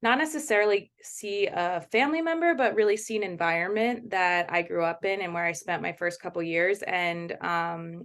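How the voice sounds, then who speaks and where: A woman's medium-pitched voice with an American accent, ordinary pitch variation, a moderate pace, hardly any pauses and a quiet background. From US East Coast, Baltimore. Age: 30s. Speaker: documentary photographer. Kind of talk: interview.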